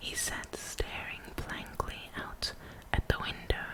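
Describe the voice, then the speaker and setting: Whispering, a woman speaks at a very slow pace. Noticeable background noise is present. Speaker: ASMR creator. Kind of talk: whispered bedtime story reading. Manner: whispered, soft-spoken, slow.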